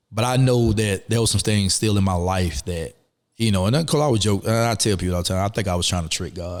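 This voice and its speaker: Talking at a very fast pace, a man with a Southern US accent uses fairly low pitch and ordinary pitch variation. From US South, rural Alabama. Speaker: former prisoner, life coach. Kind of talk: interview. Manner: halting.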